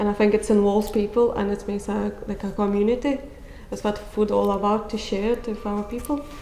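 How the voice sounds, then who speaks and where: A woman talks at a fairly quick pace in a non-native accent, her medium-pitched voice flat and monotone. Room echo is audible, and background noise is noticeable. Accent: foreign. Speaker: chef. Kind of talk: interview comments.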